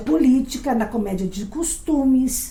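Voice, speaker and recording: With audible room echo, a woman speaks at a very slow pace in a high pitch. Her tone is dark and mellow, and her intonation is lively. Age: 60s. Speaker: actress and comedy lecturer. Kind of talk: lecture.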